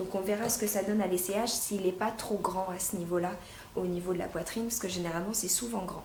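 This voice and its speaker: A woman talks at a fairly quick pace, her pitch medium with ordinary variation. The room echoes audibly and there is noticeable background noise. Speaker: fashion unboxing youtuber. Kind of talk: casual product unboxing review. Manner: hesitant, many fillers.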